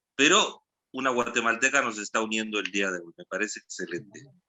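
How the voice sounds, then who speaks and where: Ordinary pitch variation marks this man's speech at a medium pitch. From Guatemala, Guatemala City. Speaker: theatre artist. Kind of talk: online panel discussion. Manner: halting.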